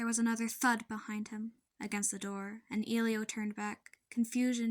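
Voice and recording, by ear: Behind the voice, everything is quiet. It is reading aloud in a natural voice.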